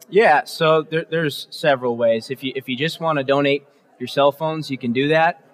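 A man with an American accent and a fairly high pitch talks at a fairly quick pace with fairly even intonation in a plain, everyday voice, in a dry, close sound with no echo. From Massachusetts South Shore (Norwell). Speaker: nonprofit co-founder. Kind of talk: interview. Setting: conference expo floor with audience.

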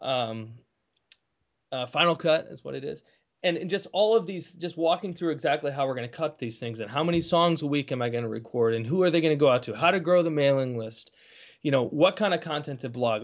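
A man with an unremarkable speaking voice talks at a fairly quick pace, fairly high in pitch with lively intonation. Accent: American. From Kalamazoo, Michigan. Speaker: musician and former lawyer. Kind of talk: casual interview.

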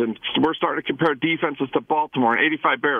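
A man with an American accent. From Idaho. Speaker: caller. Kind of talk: radio call-in rant. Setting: phone call. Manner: animated.

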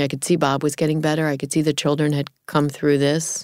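Her pitch is very deep and low. The speaker is a woman. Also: very clean recording, silent background. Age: 50s. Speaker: caregiver and military family foundation founder. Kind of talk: interview conversation.

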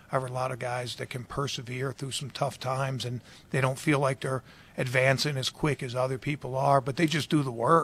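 A man's medium-pitched, monotone, flat delivery at a fairly quick pace. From Baltimore, US. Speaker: football defensive coordinator. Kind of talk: interview.

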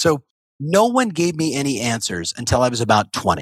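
A man's voice with vocal fry and very wide pitch swings, in a very clean recording with a silent background. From US West Coast. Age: 50s. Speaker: real estate coach. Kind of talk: interview. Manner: fast.

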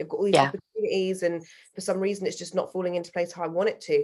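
A woman with a British accent. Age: 20s. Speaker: singer-songwriter. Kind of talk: casual interview conversation.

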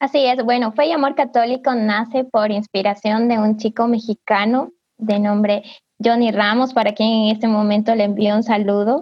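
An unremarkable speaking voice from a woman, fairly high in pitch, with fairly even intonation, moderate pace and very even loudness. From southern Ecuador, Loja, Cariamanga. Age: 20s. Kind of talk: casual virtual panel chat. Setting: video call.

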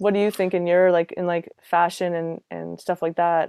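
Dark, mellow tone from a woman with a fairly low voice, fairly quick, in a dry, close sound with no echo. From Canada, Halifax, Nova Scotia. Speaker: singer-songwriter. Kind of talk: casual chat.

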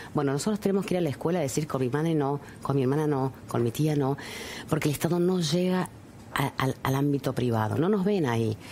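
Very deep, low female voice at a very fast pace, with very even loudness, ordinary pitch variation and noticeable background noise. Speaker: politician. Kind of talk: interview.

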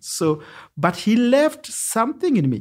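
With very wide pitch swings and an animated, warm tone, a man comes through on a very clean recording with a silent background. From Kenya, Nairobi slums. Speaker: community organizer and social entrepreneur. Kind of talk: interview conversation. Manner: animated, warm, laughs often.

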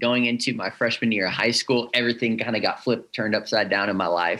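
In an American accent, a man speaks at medium pitch. His tone is bright and sharp. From Northern California. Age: 20s. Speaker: church ministry podcaster. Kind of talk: casual chat.

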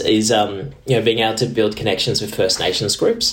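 A man with an Australian accent speaks at a fairly quick pace. There is noticeable background noise. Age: 30s. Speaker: diplomat. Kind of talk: interview. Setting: video call.

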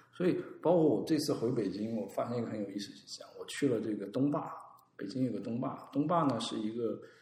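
A man talks at a very fast pace, medium in pitch with ordinary variation. Noticeable background noise and audible room echo surround him. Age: 30s. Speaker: designer and design consultant. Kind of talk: casual chat.

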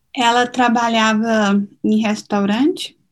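A somewhat breathy woman talks at a very slow pace, her fairly high pitch showing ordinary pitch variation. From Minas Gerais, Brazil. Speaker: lawyer and city councilor. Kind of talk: interview testimony.

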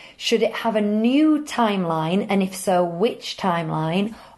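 With a British accent, a woman speaks at a fairly slow pace and medium pitch, her intonation lively. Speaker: podcast host. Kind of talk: casual chat. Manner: halting, many fillers.

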